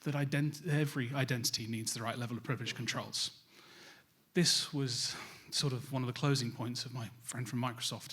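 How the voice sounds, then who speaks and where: Heard with audible room echo, a man with a British accent talks at a fairly quick pace, his medium-pitched voice keeping fairly even intonation. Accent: British accent noted by himself. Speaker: cybersecurity vendor specialist, conference speaker. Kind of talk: conference presentation.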